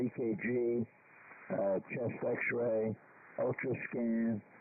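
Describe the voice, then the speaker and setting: Noticeable background noise surrounds this voice. A man talks at a medium pitch with a New York accent. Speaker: amateur radio operator. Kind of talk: amateur radio net chat. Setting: ham radio transmission.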